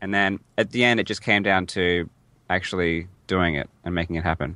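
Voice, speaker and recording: A man with an Australian accent speaks in a very deep, low voice with a bright, sharp tone, recorded very cleanly against a silent background. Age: 20s. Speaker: speedrunner. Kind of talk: interview. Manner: halting.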